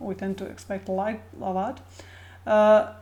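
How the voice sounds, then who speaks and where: The voice is somewhat breathy with a dark, mellow tone, moving at a fairly slow pace with monotone, flat intonation. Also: woman. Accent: Croatian. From Croatia. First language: Croatian. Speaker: video blogger. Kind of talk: casual personal talk to camera. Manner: halting, many fillers and repetitions.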